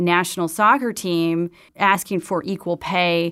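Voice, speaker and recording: In a very clean recording with a silent background, a woman with an American accent speaks at a fairly slow pace and medium pitch in an ordinary speaking voice. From US Midwest, Madison, Wisconsin. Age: 50s. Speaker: newspaper editor and journalist. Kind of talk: interview.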